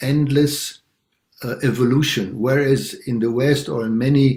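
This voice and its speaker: A man talks at a moderate pace and medium pitch. His voice is somewhat breathy, with fairly even intonation. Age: 60s. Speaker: longtime meditation practitioner. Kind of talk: personal sharing in group talk. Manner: halting, many fillers.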